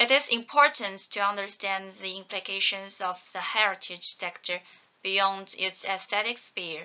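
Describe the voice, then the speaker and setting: Moderate pace and fairly even intonation from a woman. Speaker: conference presenter. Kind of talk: academic presentation. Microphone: webcam.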